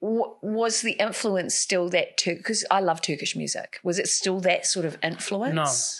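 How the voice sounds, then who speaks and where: Speaking at a fairly slow pace, a woman talks with a New Zealand accent. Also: hardly any pauses. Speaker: podcast host. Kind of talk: interview.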